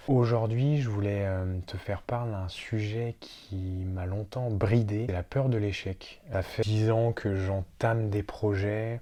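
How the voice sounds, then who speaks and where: In a very clean recording with a silent background, a man speaks very slowly at a fairly low pitch, dark and mellow in tone with fairly even intonation. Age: 20s. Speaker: YouTuber. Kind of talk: personal vlog monologue. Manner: halting, many fillers.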